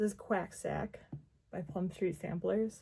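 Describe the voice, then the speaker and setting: A woman speaks with an American accent. Her tone is dark and mellow, and somewhat breathy. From Wisconsin, Milwaukee. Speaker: crafting vlogger. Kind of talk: casual chat. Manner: rambling, chatty.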